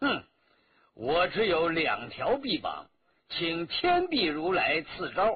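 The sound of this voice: A man puts on a character voice with vocal fry and a slightly husky edge, speaking slowly at a fairly high pitch with very wide pitch swings.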